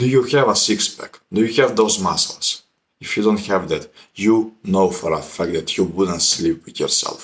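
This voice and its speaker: Pitch variation is ordinary. Speech proceeds at a moderate pace. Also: man, fairly low pitch for a man. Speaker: self-improvement youtuber. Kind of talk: motivational monologue. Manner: blunt, confrontational.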